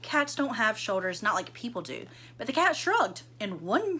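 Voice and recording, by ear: The speaker is reading aloud in a natural voice. Nothing about the delivery sounds forced.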